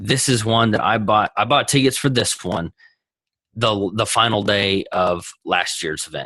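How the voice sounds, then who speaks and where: A man with a Texas accent, a bright, sharp tone and fairly low pitch, talking at a fairly slow pace against a quiet background. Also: ordinary pitch variation. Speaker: entrepreneur. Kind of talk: interview. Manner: animated, halting restarts.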